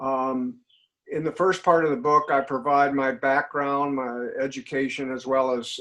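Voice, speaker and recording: Here a man speaks at a medium pitch and a moderate pace. His intonation is monotone and flat. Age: 70s. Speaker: nuclear industry troubleshooter and author. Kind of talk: podcast interview. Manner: halting, many fillers.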